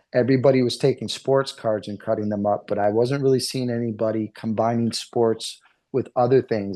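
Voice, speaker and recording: This man has a New England accent and a medium pitch. His tone is dark and mellow, with fairly even intonation. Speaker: card artist. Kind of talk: interview.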